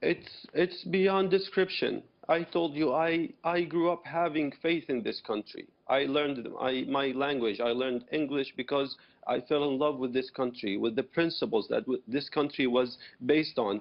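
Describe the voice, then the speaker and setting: The speaker has an Arabic accent. Pitch moves up and down in an ordinary way. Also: man, fairly high pitch for a man, moderate pace. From Syria. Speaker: activist, former rebel, refugee. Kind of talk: TV news interview.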